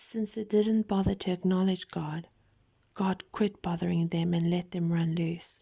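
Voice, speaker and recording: The speaker is soft-spoken, with a calm tone and a fairly slow pace. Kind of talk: scripture reading, audio Bible narration. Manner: soft-spoken, calm.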